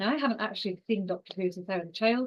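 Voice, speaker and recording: The speaker is a woman. She has a strong Scottish accent. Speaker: exercise and cancer researcher. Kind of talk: online lecture. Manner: fast.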